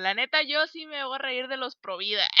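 Speaking with a Mexican accent, a woman has a high voice with a bright, sharp tone, the sound dry and close with no echo. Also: very clean recording, silent background. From Mexico. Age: 20s. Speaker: podcast co-host. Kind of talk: casual chat.

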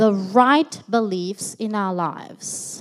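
A woman talks at a very slow pace. The recording is very clean, with a silent background. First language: French. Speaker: preacher, teacher. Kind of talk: sermon. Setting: church.

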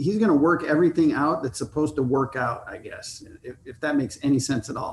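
A man talks at a fairly quick pace in a somewhat breathy, fairly high voice with ordinary pitch variation and big swings in loudness. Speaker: married guest sharing love story. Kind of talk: casual interview. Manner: quiet.

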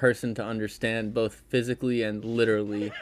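A man with an American accent and a medium pitch at a moderate pace, a plain, everyday voice in a very clean recording with a silent background. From Connecticut, US Northeast. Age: 20s. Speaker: podcast fan guest. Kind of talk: casual chat.

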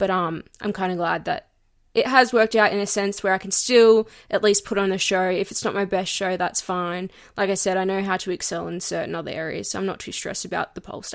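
The delivery is animated and comes at a fairly quick pace. Loudness swings widely. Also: woman, medium pitch for a woman. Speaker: podcast host. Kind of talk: casual chat. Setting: remote recording from home. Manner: animated, chatty.

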